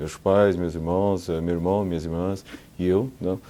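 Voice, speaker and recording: A man's very deep, low voice with a dark, mellow tone, moderate pace and ordinary pitch variation. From Brazil, São Paulo (born in South Korea, arrived age 7). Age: 50s. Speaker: insurance executive. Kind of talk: oral history interview.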